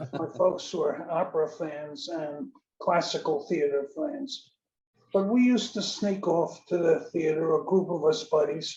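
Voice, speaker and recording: With a New York accent, a man with a high pitch and a dark, mellow tone speaks at a fairly slow pace with ordinary pitch variation. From New York City (South Bronx). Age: 80s+. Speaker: audience member. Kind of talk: Q&A comment. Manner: halting.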